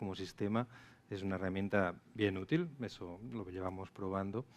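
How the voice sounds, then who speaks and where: The speech is fairly quick, with fairly even intonation. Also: man. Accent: strong Catalan. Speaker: traffic software sales manager. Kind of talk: panel discussion.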